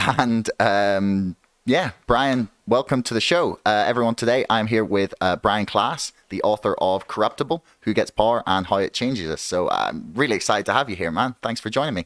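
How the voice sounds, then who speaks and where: A man with a Northern Irish accent and ordinary pitch variation, barely pausing, in a very clean recording with a silent background and a dry, close sound with no echo. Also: medium pitch for a man, moderate pace. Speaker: podcast host. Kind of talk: casual interview. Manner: halting, many fillers.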